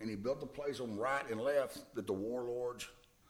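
This man has a medium pitch with ordinary pitch variation. He talks at a moderate pace. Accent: Texan. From Texas, Hillsboro. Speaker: musician. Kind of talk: casual interview. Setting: studio.

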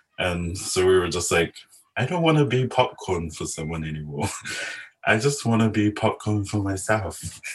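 The voice is somewhat breathy, with lively intonation and a moderate pace. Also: man, fairly low pitch for a man. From New Zealand, South Auckland (Samoan community). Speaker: filmmaker and visual artist. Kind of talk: interview conversation.

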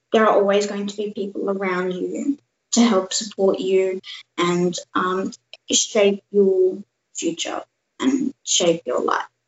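A woman at medium pitch with an Australian accent, speaking at a very slow pace. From Australia (born India, lived in Canada until three). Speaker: youth cancer charity ambassador, cancer survivor. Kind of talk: interview. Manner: halting.

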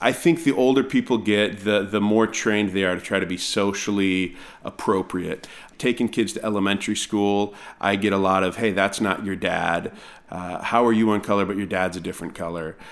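An ordinary speaking voice moves along at a fairly quick clip, its pitch varying in an ordinary way. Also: man, fairly low pitch for a man. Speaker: pastor. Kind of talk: casual interview conversation.

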